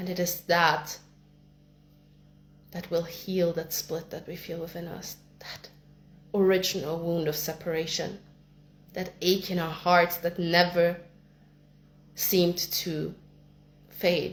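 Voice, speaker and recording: A woman with a non-native accent speaks at a very slow pace, with long, frequent pauses. Her intonation is monotone and flat, while her loudness swings widely. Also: fairly low pitch for a woman. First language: not English. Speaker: spiritual content creator. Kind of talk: personal spiritual monologue.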